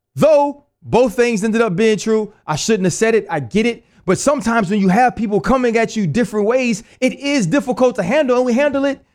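Speaking at a moderate pace in a New Orleans accent, a man sounds animated at an extremely high pitch with ordinary pitch variation, on a very clean recording with a silent background. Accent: New Orleans Southern US. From Louisiana, New Orleans area. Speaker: retired football player, podcast host. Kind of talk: solo commentary rant.

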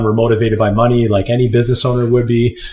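There is noticeable background noise here. A man with a Canadian accent speaks at a medium pitch. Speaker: podcast co-host and marathon runner. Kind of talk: casual chat. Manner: halting, many fillers and repetitions.

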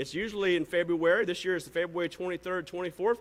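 Speaking fairly quickly, a man with a Southern US accent uses a high pitch. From US South. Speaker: pastor. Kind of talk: sermon; church announcements. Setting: church.

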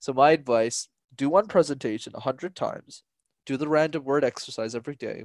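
A man with a Canadian accent, a normal speaking voice, fairly high pitch, ordinary pitch variation and a fairly quick pace, on a very clean recording with a silent background and a dry, close sound with no echo. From Canada, Montreal. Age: 20s. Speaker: public speaking coach. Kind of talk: casual interview.

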